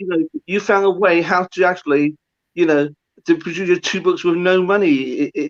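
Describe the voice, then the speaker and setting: The man's voice sits high for a man, with ordinary pitch variation. The audio is dry and close, with no echo at all. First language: not English. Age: old. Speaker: author and maths expert. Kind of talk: interview. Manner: halting.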